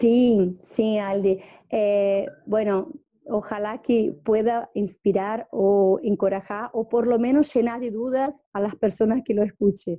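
In a Portuguese accent, the speaker talks at a very slow pace with a dark, mellow tone and ordinary pitch variation. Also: woman, fairly high pitch for a woman. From northeast Brazil. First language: Portuguese (speaking Spanish). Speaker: interviewee, small-town organic farming community member. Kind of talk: interview. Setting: at her home. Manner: halting, many repetitions.

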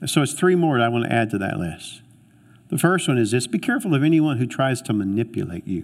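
Recorded very cleanly against a silent background, a man with a medium pitch speaks in an animated tone at a very fast pace, his pitch swinging very widely. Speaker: pastor. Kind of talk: sermon.

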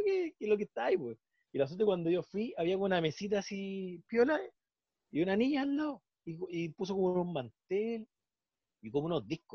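With a Chilean accent, a man with a high pitch talks at a fairly quick pace, his pitch swinging very widely. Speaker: podcast co-host. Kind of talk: casual chat.

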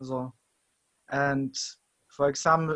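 With a German accent, a man speaks very slowly in a fairly high, flat monotone, the sound dry and close with no echo. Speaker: podcast host. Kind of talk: casual interview chat. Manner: halting.

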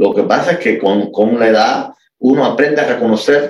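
A man talks at a fairly slow pace. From Cuba, Havana area. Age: 40s. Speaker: classical guitarist. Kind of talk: interview conversation.

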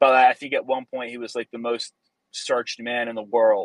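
In an American accent, a man talks at a fairly quick pace with a dry, close sound and no echo. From US Northeast. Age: 20s. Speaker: engineer. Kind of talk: casual chat.

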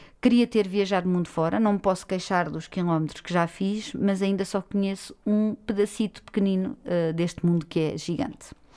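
Against a silent background on a very clean recording, a woman speaks at medium pitch and moderate pace, her tone dark and mellow and her pitch variation ordinary. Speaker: podcast co-host, freelance journalist. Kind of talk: casual chat.

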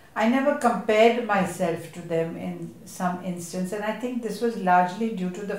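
A woman at medium pitch speaks at a fairly slow pace with fairly even intonation, amid audible room echo and noticeable background noise. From India, Mumbai. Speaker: theatre director. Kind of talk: panel discussion at a literature festival.

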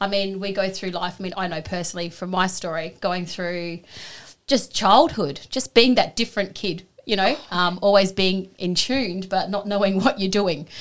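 On a very clean recording with a silent background, a woman with medium pitch and an ordinary speaking voice talks at a moderate pace with ordinary pitch variation. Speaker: co-host, Reiki practitioner. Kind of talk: casual chat.

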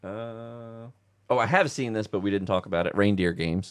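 A normal speaking voice from a man, fairly low in pitch, with ordinary pitch variation and a moderate pace. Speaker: movie fan guest. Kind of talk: casual chat about Christmas movies. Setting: basement, recording at home.

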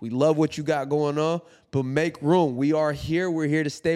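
A man has an ordinary speaking voice, fairly high in pitch with ordinary pitch variation. The recording is very clean, with a silent background. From US, child of immigrant parents. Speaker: podcast host. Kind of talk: casual chat.

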